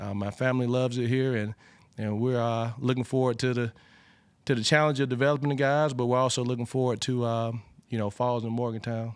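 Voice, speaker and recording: An Alabama accent, monotone and flat, at a fairly quick pace on a very clean recording with a silent background. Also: man, medium pitch for a man. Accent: Southern US (Alabama). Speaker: football coach. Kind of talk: press conference Q&A. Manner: conversational with frequent fillers and repetitions.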